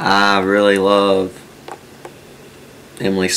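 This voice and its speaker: There is noticeable background noise as a man speaks. His voice is fairly low, with monotone, flat intonation. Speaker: groom. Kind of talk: interview to camera.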